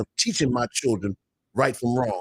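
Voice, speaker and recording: The sound is dry and close with no echo as a man speaks in a somewhat breathy voice at medium pitch with ordinary pitch variation. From Baltimore. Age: 70s. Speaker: minister in addiction recovery. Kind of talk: casual chat.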